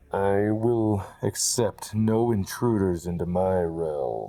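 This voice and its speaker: In a put-on character voice, a man speaks very slowly at a fairly low pitch with ordinary pitch variation. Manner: menacing, commanding.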